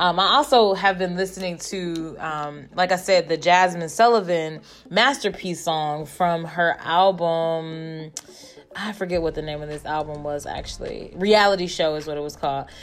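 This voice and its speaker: This woman's voice sits fairly low and moves with ordinary pitch variation. She talks at a moderate pace, with big swings in loudness. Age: 30s. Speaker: podcast host. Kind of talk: casual monologue. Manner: hesitant, many fillers.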